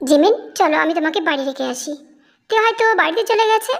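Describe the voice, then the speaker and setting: A woman uses a squeaky, put-on character voice at an extremely high pitch. It swings very widely in pitch at a moderate pace. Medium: read story. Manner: teasing, relaxed.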